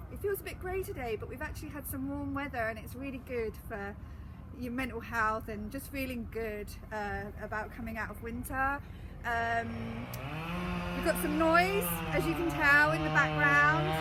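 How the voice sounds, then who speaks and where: A woman speaks with an English accent at a moderate pace. There's noticeable background noise and audible room echo. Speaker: gardening educator. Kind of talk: live gardening demonstration. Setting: outdoors in a garden, live stream. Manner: loud.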